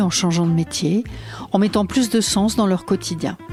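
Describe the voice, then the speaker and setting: With music in the background, a woman talks at a moderate pace and a medium pitch. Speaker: podcast host. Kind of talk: podcast intro narration.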